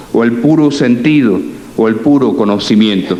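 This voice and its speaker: A man talks at a fairly slow pace with ordinary pitch variation. Noticeable background noise and audible room echo surround his voice. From Cuba, left at age four, raised in the US. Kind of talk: lecture. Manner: halting, frequent self-corrections.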